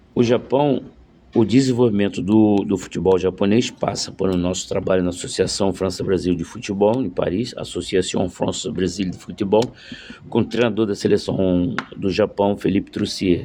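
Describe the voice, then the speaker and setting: With noticeable background noise around him, this man keeps a moderate pace, a fairly low pitch, and fairly even intonation. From Rio de Janeiro, Brazil. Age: 60s. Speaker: former footballer and football coach. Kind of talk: casual video monologue. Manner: halting, many fillers.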